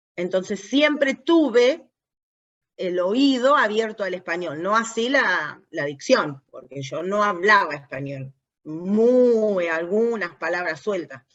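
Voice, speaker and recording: A woman with an Argentine accent, medium-pitched, very slow, with very wide pitch swings. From US, New Jersey. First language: English (speaking Spanish). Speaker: language competence expert in aviation. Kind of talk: interview conversation.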